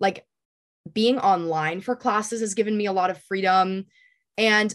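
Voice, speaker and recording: This woman has an ordinary speaking voice, medium pitch and an American accent, and she talks at a fairly quick pace. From US Northeast, New Hampshire. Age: 20s. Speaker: college student and aspiring actress. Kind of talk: casual interview.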